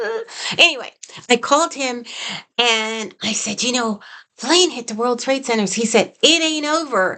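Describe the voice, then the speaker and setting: A woman's squeaky, high voice has a bright, sharp tone and moves at a moderate pace with long, frequent pauses. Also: ordinary pitch variation. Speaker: psychic medium. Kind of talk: personal storytelling. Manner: halting.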